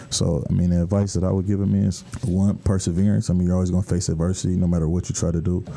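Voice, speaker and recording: A man with an American accent talks very fast at a very deep, low pitch, his intonation fairly even and his loudness very even. Noticeable background noise sits behind him. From US Midwest, Michigan. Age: 20s. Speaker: football quarterback. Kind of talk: radio interview.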